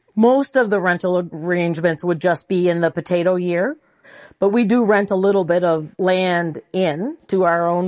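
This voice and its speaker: With a normal speaking voice, a woman talks at a moderate pace with very even loudness and ordinary pitch variation on a very clean recording with a silent background. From Prince Edward Island, Canada. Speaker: farm manager. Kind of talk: interview.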